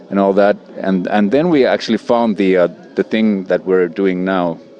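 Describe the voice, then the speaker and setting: A man with a fairly low pitch talks while music plays in the background. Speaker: musician. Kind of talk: interview. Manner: hesitant.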